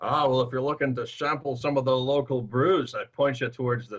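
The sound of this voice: The speaker reads in an unforced reading voice.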